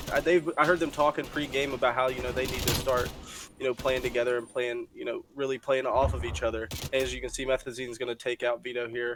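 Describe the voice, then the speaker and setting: There is noticeable background noise as a man speaks at a very fast pace with fairly even intonation. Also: medium pitch for a man. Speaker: esports caster. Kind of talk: live commentary.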